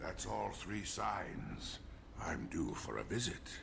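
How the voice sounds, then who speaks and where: Using a put-on character voice, a man speaks at a fairly slow pace. Loud background noise runs behind him. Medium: video game. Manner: brusque, terse.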